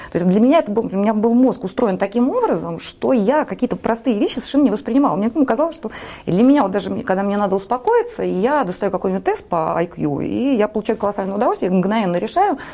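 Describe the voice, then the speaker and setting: Speaking very fast, a woman uses lively intonation. Her voice is fairly high. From Saint Petersburg, Russia. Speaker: entrepreneur and food blogger. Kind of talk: casual interview. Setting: TV studio.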